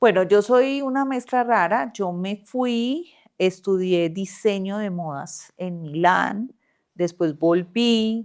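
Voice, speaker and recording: On a quiet background, a woman speaks very slowly at a medium pitch, her intonation lively. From Colombia, paisa region. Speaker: politician, former TV journalist. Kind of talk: interview.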